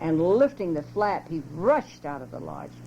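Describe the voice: A woman speaks at a fairly slow pace in a low pitch with a dark, mellow tone. Her pitch makes big swings.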